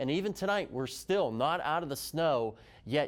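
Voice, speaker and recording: A man with an American accent in an ordinary speaking voice, fairly high in pitch and at a moderate pace, on a very clean recording with a silent background. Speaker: TV meteorologist. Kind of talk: TV weather broadcast.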